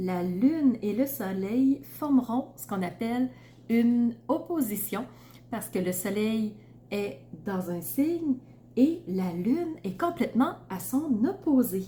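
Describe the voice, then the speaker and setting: In a Quebec accent, a woman speaks at a very slow pace with a fairly high, somewhat breathy voice, a dark, mellow tone, very wide pitch swings and big swings in loudness. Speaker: tarot reader and astrologer. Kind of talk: astrology reading to camera. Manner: casual, with frequent fillers.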